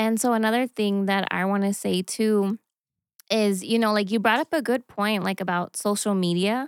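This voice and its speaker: In a very clean recording with a silent background and a dry, close sound with no echo, a woman with an American accent uses a plain, everyday voice at medium pitch, with fairly even intonation at a moderate pace. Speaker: church team leader. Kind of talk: casual chat.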